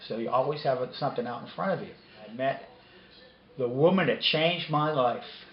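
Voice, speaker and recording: A man's medium-pitched voice shows ordinary pitch variation. Audible room echo and noticeable background noise surround it. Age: 60s. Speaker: interviewee. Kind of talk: interview testimony.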